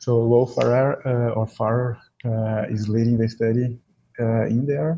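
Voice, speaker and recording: A man with a strong Brazilian accent talks at a fairly slow pace and medium pitch, his dark, mellow voice somewhat breathy and his intonation fairly even. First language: Portuguese. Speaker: exercise and depression researcher, professor. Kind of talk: podcast interview. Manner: hesitant, many fillers.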